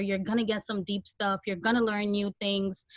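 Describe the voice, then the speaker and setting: A Guyanese accent, monotone and flat in intonation, with a dry, close sound and no echo. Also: woman. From Guyana, then Brooklyn New York. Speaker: podcast host. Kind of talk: Q&A on video call launch party. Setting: video call.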